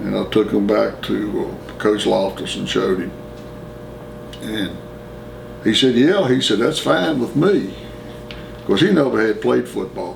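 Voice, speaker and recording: Amid noticeable background noise and audible room echo, a man with an American accent speaks at a fairly slow pace with long, frequent pauses. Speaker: former student interviewee. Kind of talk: oral history interview.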